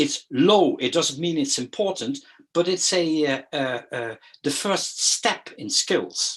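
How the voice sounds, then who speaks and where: Speaking with a Dutch accent, a man uses a fairly high voice with very wide pitch swings. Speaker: educational consultant. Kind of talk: lecture. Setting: video call. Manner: halting, many fillers and repeats.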